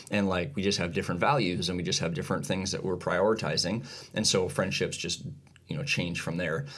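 Fairly quick and with lively intonation, a man speaks in a very deep, low voice. Audible room echo surrounds him. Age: 40s. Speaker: podcast co-host. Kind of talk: casual chat.

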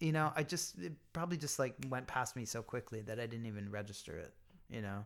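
The recording is very clean, with a silent background. A man of medium pitch with a Pennsylvania accent speaks fairly quickly with lively intonation. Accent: American, Pennsylvania. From US, small-town Pennsylvania. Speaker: writer and podcaster. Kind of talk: interview about life story. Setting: at guest's home.

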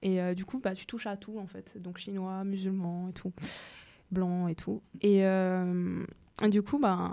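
A woman's dark, mellow voice at medium pitch, very slow in pace, with fairly even intonation. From Mauritius. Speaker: radio show host. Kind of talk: casual radio chat with prepared segment.

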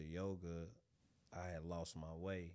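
With audible room echo around him, a man talks at a very slow pace in a very deep, low pitch. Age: 30s. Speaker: yoga instructor. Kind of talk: casual chat.

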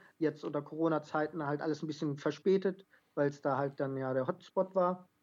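A woman's very deep, low voice at a fairly quick pace, with fairly even intonation. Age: 20s. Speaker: carriage driving athlete and amateur footballer. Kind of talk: podcast interview. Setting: phone or remote call.

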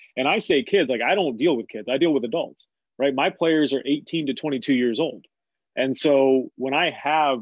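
A man speaks at a medium pitch and a moderate pace, with ordinary pitch variation. He has an ordinary speaking voice. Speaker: basketball coach. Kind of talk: casual interview chat.

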